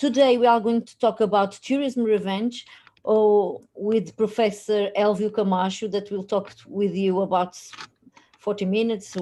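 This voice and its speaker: In a Portuguese accent, a woman speaks at a fairly slow pace with a dark, mellow tone, a medium pitch, and monotone, flat intonation. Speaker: institute vice director. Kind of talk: welcome speech. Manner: halting.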